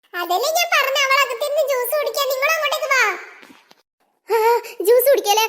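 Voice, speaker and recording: A woman's cartoonish character voice, extremely high in pitch, fairly quick, with lively intonation. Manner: commanding, two-faced.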